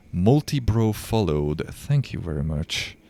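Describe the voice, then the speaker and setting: Someone speaks at a very slow pace in a Hungarian accent on a very clean recording with a silent background. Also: man. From Hungary. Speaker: video game streamer. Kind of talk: live gameplay commentary.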